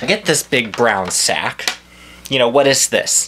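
A man talks in an animated tone over noticeable background noise. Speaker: comedy vlogger. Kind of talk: angry comic rant, mock-outraged complaint about a food delivery. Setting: video blog, speaking to camera from home. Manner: animated, indignant and exasperated, ranting with stammers and repeats. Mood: exasperated, mocking. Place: home room. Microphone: phone near.

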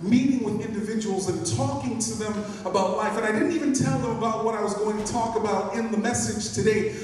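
Strong room echo and light background noise surround a man speaking at a fairly quick pace. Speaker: pastor. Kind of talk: sermon. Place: church.

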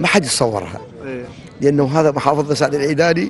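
Over light background noise, a man talks at a moderate pace, and the sound is dry with no echo. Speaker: interviewee. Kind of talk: interview answer. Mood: cheerful, warm. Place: waterside. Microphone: handheld.

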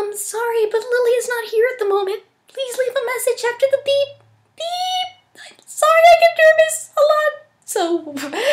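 A soft-spoken, put-on character voice at an extremely high pitch and a moderate pace. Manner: shy, nervous, soft.

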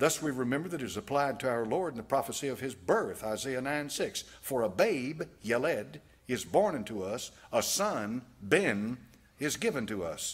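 A man speaks at a moderate pace with a Southern US accent, his pitch swinging very widely. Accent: American Southern. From United States. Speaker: preacher, pastor. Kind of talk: sermon preached to a congregation. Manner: reading aloud from a text. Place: church. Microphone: podium.

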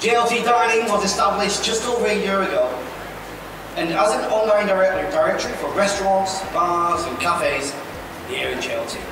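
Noticeable background noise and strong room echo surround a man speaking at a fairly quick pace. His pitch is high, with ordinary variation. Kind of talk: ceremony hosting speech. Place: hall. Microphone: podium.

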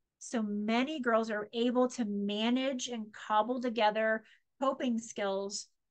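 Against a quiet background, a woman talks at a fairly high pitch with fairly even intonation. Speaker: presenter on ADHD. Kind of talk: lecture. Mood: warm, explanatory. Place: home room. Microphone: webcam.

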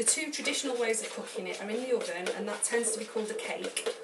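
A woman speaks at a very fast pace. Loud background noise runs behind her. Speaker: home cook vlogger. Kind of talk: tutorial. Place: kitchen. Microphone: camera far.

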